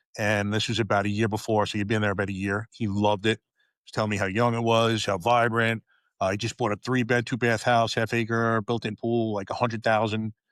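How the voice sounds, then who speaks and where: A man's fairly low, monotone voice with flat intonation and a New York accent, dry and close with no echo, over a silent background in a very clean recording. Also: hardly any pauses, big swings in loudness. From New York, Long Island. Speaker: retired police officer. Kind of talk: podcast interview.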